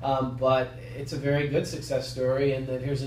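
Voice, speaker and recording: With an American accent, a man of medium pitch speaks very fast in a monotone, flat delivery, with audible room echo and noticeable background noise. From US South. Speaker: loan officer. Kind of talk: interview. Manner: hesitant, many fillers.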